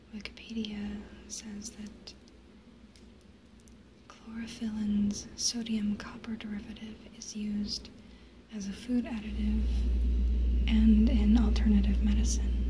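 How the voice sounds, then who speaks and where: In a calm tone, a woman speaks at a very slow pace with long, frequent pauses and big swings in loudness. Noticeable background noise runs underneath. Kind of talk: ASMR soft-spoken show and tell. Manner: soft-spoken, whispery, calm.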